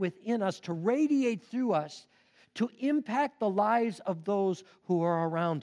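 Intonation rises and falls in a lively way. The reading voice is unforced.

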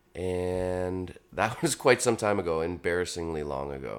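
A man's very deep, low voice shows ordinary pitch variation on a very clean recording with a silent background. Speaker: songwriter and band frontman. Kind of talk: casual chat. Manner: soft-spoken.

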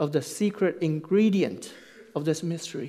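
A man speaks with a Chinese accent at a fairly slow pace. His intonation is lively. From China. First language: Mandarin Chinese. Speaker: pastor. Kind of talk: sermon. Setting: church.

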